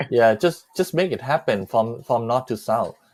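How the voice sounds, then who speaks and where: Recorded very cleanly with a silent background, a man with a Thai accent speaks at a medium pitch and moderate pace, with ordinary pitch variation. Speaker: live stream host. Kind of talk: casual live chat. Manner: animated.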